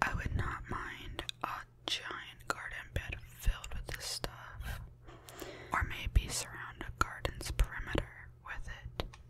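Whispering at a very slow pace, a woman speaks with big swings in loudness over noticeable background noise. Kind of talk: casual talk to camera. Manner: soft-spoken.

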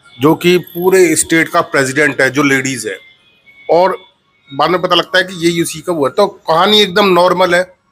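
Over faint music in the background, a man with a high pitch speaks at a moderate pace with ordinary pitch variation. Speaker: film reviewer. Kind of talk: casual film review chat. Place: home room. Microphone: lapel.

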